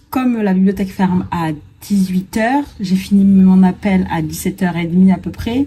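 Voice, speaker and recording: Her voice is somewhat breathy and dark and mellow in tone, sitting at a medium pitch for a woman with fairly even intonation. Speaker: writing vlogger. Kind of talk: vlog monologue. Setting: at home with window open. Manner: whispering.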